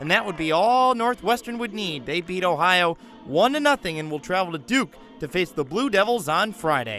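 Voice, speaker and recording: A man's high, raised, projected voice at a moderate pace, with very wide pitch swings and music in the background. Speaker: sports broadcaster, highlight voiceover. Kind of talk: sports highlight voiceover.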